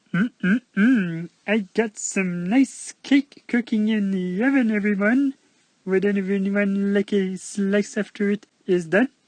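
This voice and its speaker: This is a put-on character voice that sounds female and squeaky. It sits at medium pitch for a woman and moves at a fairly slow pace. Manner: silly.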